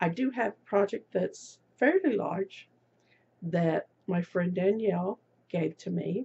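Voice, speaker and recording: A woman speaks at a medium pitch with ordinary pitch variation. Vocal fry shows up in her voice. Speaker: crafting vlogger. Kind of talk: casual show-and-tell vlog. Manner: hesitant, with fillers.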